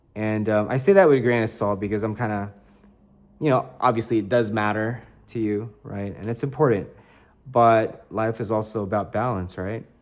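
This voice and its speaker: A soft-spoken man talks with fairly even intonation. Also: moderate pace. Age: 30s. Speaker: toy collector YouTuber. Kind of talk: unboxing review. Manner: casual with many fillers.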